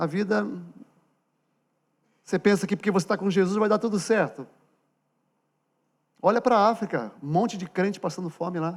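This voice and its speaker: A man with a high pitch speaks at a moderate pace with ordinary pitch variation. Long, frequent pauses break up his speech. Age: 60s. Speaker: pastor. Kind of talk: sermon. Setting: church. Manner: conversational, direct address to congregation.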